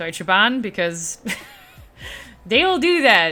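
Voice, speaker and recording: There is noticeable background noise behind this woman. She speaks with a non-native accent. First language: not English. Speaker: streamer. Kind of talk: live stream chat. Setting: live stream. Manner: animated.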